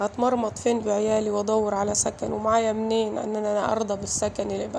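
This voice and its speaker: A woman with an Egyptian accent at a moderate pace, audible room echo and noticeable background noise. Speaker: vlogger mother. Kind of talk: emotional personal vlog. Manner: emotional, halting.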